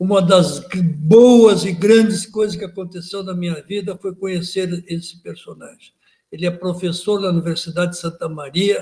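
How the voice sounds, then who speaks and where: A man at a high pitch with ordinary pitch variation and a fairly slow pace. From Porto Alegre, southern Brazil. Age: 70s. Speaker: writer, retired judge. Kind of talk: biographical interview. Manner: halting.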